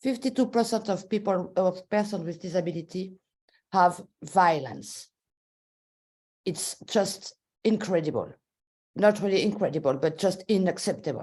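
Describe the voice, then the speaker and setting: A woman talks with a French accent in a dark, mellow tone. She leaves long, frequent pauses. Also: medium pitch for a woman, ordinary pitch variation, moderate pace. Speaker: policy maker. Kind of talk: webinar talk. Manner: halting.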